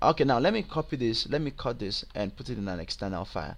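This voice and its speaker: A man speaks with a Nigerian accent. The recording is very clean, with a silent background. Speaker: web programming tutor. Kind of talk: tutorial. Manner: halting, many fillers.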